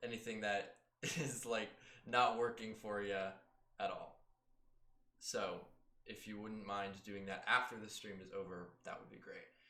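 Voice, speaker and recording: With audible room echo, a man talks at a fairly slow pace, leaving long, frequent pauses and swinging widely in loudness. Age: 20s. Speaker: actor and role-playing game player. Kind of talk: casual chat. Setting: live stream. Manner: hesitant, many filler words.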